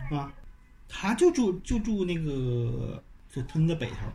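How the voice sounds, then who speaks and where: A speaker with a Tangshan accent moves through very wide pitch swings. The room echo is audible and background noise is noticeable. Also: man. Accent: Tangshan dialect of his hometown. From rural Hebei, Tangshan area. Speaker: painter. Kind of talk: casual interview chat. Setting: at his home.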